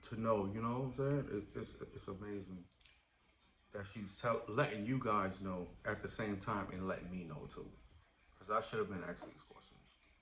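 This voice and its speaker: Amid noticeable background noise and audible room echo, a man speaks in a fairly low pitch with ordinary pitch variation and big swings in loudness. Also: moderate pace. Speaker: YouTuber. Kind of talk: casual chat.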